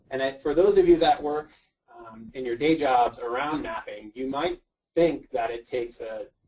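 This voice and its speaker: Using a normal speaking voice, a man with an American accent talks at a moderate pace and fairly high pitch, with ordinary pitch variation and big swings in loudness. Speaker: GIS researcher and search and rescue volunteer. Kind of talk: webinar presentation. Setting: online webinar.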